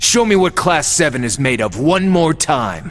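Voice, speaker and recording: Using a put-on character voice, a man speaks at a moderate pace in a fairly high pitch with very wide pitch swings. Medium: video game. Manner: wry, laid-back.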